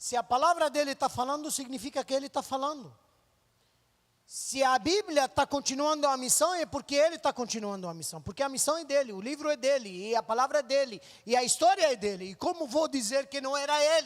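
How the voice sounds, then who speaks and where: A man with a Lebanese accent speaks at an extremely high pitch with lively intonation, the sound dry and close with no echo. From Lebanon (Beirut). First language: Arabic (speaking Portuguese). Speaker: missionary. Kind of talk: testimony.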